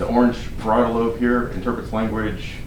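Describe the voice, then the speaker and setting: Mumbling at a medium pitch, a man is heard with audible room echo and noticeable background noise. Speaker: physician lecturer. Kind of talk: lecture. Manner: fast. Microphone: muffled by face mask.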